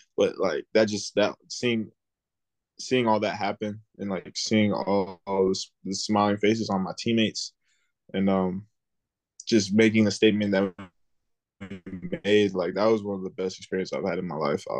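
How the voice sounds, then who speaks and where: A man speaks at a fairly low pitch and a moderate pace, with long, frequent pauses and a monotone, flat intonation. The sound is dry and close with no echo, over a quiet background. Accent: American. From South Florida. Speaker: college football player. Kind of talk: interview.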